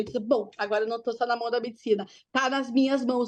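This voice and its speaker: The speaker is a woman with a fairly quick delivery. Her surroundings are quiet. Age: 40s. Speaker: cancer patient sharing her story. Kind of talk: testimony. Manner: fast; animated.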